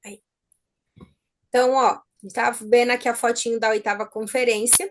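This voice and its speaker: The woman's voice sits at a high pitch. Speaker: nurse and exam-prep teacher. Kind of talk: online lecture.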